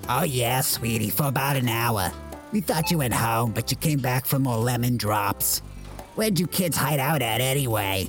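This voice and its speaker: A man puts on a character voice at a medium pitch and moderate pace. Music is clearly audible behind him. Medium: audio drama. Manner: warm, affectionate.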